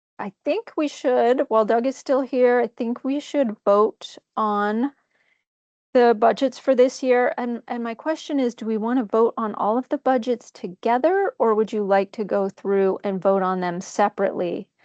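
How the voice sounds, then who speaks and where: A woman has a plain, everyday voice, fairly high in pitch with ordinary pitch variation, at a moderate pace. The sound is dry and close with no echo against a quiet background. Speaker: grant program coordinator presenting budgets. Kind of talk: board meeting presentation.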